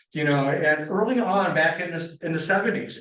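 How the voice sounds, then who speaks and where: Audible room echo surrounds a man with an American accent speaking at a moderate pace in a fairly high pitch. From Michigan, Muskegon area. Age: 70s. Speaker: environmental consultant. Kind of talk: lecture. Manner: halting.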